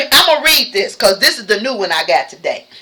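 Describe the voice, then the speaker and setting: A woman speaks in an animated tone. Her pitch swings very widely. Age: 60s. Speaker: YouTuber. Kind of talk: casual chat.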